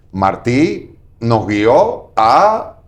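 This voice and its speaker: Against audible room echo, a man speaks at a medium pitch with lively intonation. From Cuba, Marianao (Havana). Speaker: political analyst. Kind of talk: TV interview. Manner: hesitant, with fillers.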